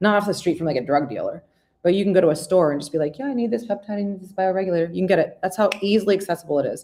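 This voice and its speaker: Over a silent background in a very clean recording, a woman speaks very fast with lively intonation and a dark, mellow tone. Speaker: naturopathic doctor and show host. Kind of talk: health talk presentation. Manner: animated.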